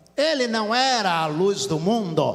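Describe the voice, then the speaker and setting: A man speaks at a high pitch with very wide pitch swings. Audible room echo and noticeable background noise are present. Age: 60s. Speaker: pastor. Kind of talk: sermon.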